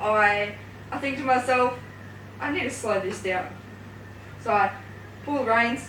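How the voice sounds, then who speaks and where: Fairly slow speech with long, frequent pauses and ordinary pitch variation, amid noticeable background noise and audible room echo. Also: woman, fairly high pitch for a woman. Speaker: youth space presenter. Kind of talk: casual chat. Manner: hesitant.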